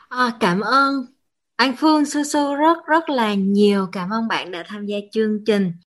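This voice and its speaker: A woman speaks in an ordinary speaking voice at a fairly slow pace. Her intonation is lively. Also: fairly high pitch for a woman. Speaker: MC. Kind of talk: hosting, introducing the show.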